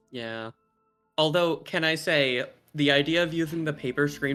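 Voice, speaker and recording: Music plays in the background as a man talks at a moderate pace. His pitch varies in an ordinary way. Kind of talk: casual chat.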